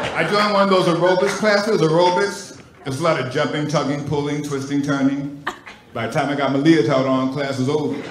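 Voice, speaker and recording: A fairly high-pitched man talking at a very fast pace with ordinary pitch variation, plus audible room echo and noticeable background noise. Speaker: stand-up comedian. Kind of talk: stand-up comedy set. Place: stage. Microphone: handheld.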